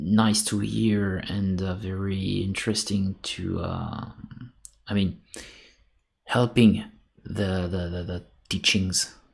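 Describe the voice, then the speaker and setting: A man with a French accent speaks very slowly, with long, frequent pauses, in a fairly low, somewhat breathy, monotone and flat voice. The recording is very clean, with a silent background. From France. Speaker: sculptor. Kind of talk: casual chat. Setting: live stream. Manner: halting.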